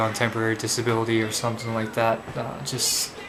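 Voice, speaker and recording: With noticeable background noise and audible room echo, a man speaks at a moderate pace and a medium pitch. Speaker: vlogger and protester. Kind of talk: video blog. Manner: slurred; halting.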